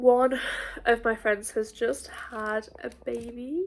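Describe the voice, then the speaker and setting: A woman speaks in a high voice. Her pitch moves in an ordinary way. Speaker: student vlogger. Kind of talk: casual vlog.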